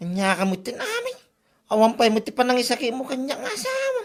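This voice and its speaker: Extremely high-pitched put-on character voice from a man, at a fairly quick pace. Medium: audio drama. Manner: grumbling, defensive.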